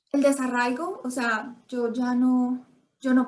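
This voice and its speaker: Her high-pitched voice stays monotone, as the woman speaks with flat intonation. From Colombia. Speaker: immigrant interviewee. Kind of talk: interview conversation.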